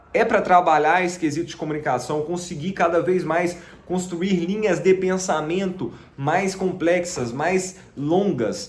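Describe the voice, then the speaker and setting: With audible room echo, a man speaks at a high pitch and a fairly slow pace, with ordinary pitch variation. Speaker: sales closer and digital marketing youtuber. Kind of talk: casual vlog monologue. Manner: many fillers (né, tá).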